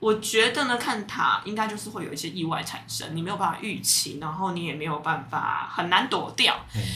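With lively intonation and hardly any pauses, a woman at medium pitch talks at a fairly quick pace amid noticeable background noise and audible room echo. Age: 30s. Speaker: tarot reader and aromatherapist. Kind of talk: casual chat.

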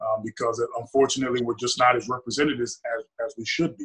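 A man's medium-pitched voice, bright and sharp in tone, with fairly even intonation at a very fast pace. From US, Nigerian household. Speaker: optometrist. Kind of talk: casual chat.

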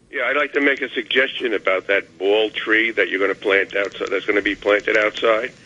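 Hardly pausing, a man talks at a fairly quick pace with a New York accent. His pitch is medium and his intonation fairly even. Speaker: caller. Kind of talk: call-in radio. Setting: phone call.

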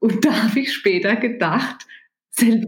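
This woman has an ordinary speaking voice, fairly high in pitch with ordinary pitch variation, and she talks at a fairly slow pace. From Germany, rural. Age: 50s. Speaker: business executive. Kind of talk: interview.

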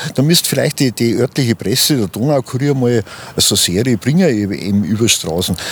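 Over noticeable background noise, a man talks at a moderate pace and medium pitch with lively intonation. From Ingolstadt, Bavaria. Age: 70s. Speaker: retired transport business owner and local historian. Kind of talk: interview. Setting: outdoors.

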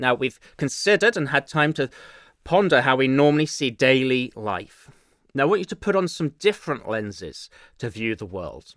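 This man has an English accent and a fairly high pitch that swings very widely. He speaks at a moderate pace, and the sound is dry and close with no echo. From England. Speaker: pastor. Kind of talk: sermon. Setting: church.

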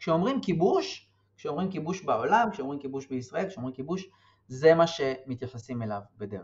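His pitch sits fairly high, and his voice comes out somewhat breathy. The man talks at a moderate pace. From West Bank settlement near Hebron. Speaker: political science researcher. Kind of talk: interview.

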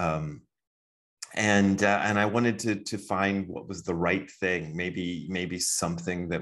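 Against a quiet background, a man speaks at a very slow pace in a very deep, low voice with fairly even intonation. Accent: American. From Ohio, US Midwest. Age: 50s. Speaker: Zen teacher and author. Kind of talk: casual interview conversation.

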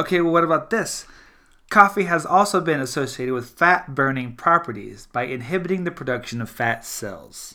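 A man with an American accent talks at a moderate pace with lively intonation and a bright, sharp tone at a fairly high pitch. The recording is very clean, with a silent background. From US South, South Louisiana. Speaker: podcast host and cartoonist. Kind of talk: casual chat. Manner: animated.

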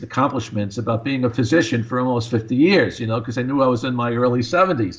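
He has a plain, everyday voice. This man's pitch is medium. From US Northeast, Long Island, New York. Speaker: cardiologist. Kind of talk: radio interview.

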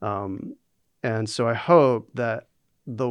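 A plain, everyday voice with an American accent and fairly even intonation comes through against a quiet background. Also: man. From US South, North Carolina. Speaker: author and instructional designer. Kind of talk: interview.

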